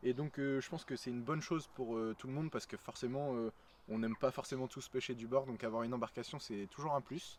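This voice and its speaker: Fairly even intonation from a man at a very fast pace, his pitch medium. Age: young (19). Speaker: fishing YouTuber, student. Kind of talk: casual video introduction. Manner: hesitant, many fillers.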